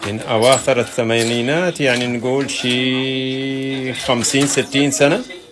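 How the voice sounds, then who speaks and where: Over noticeable background noise, a man at medium pitch speaks at a very slow pace with fairly even intonation and hardly any pauses. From Saudi Arabia. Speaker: artist. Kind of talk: casual interview.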